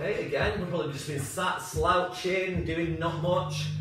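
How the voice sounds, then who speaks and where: Accompanied by clear music and audible room echo, a man talks at a fairly quick pace. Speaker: fitness instructor. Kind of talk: exercise class instruction. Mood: upbeat, encouraging. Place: home room. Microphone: camera far.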